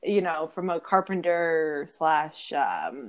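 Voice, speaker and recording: Her voice sits at a fairly low pitch for a woman, with ordinary pitch variation. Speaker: guest, legal assistant. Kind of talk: casual chat. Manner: animated, chatty.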